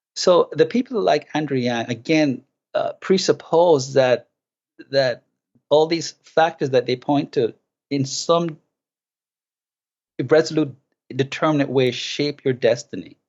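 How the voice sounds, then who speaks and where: A man with a Jamaican accent speaks at a fairly slow pace with long, frequent pauses, his fairly high pitch showing ordinary variation. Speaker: philosophy professor and author. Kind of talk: interview conversation.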